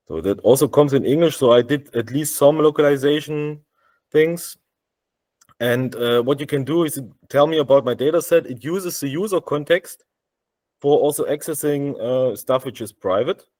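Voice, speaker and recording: A man with a German accent, his voice fairly high-pitched, at a moderate pace. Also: ordinary pitch variation, very clean recording, silent background. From Germany. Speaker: software developer. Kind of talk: tech demo. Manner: halting, many fillers.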